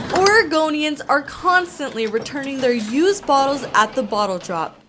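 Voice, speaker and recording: Very wide pitch swings from a woman speaking high, with noticeable background noise. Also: moderate pace. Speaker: news reporter. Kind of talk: TV news report.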